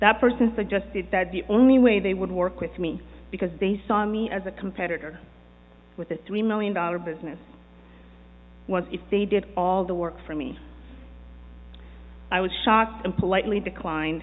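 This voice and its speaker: Long, frequent pauses break up a woman's speech at a moderate pace. She has a medium pitch with ordinary pitch variation. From immigrant to the US. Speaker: business owner and developer. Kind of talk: prepared speech.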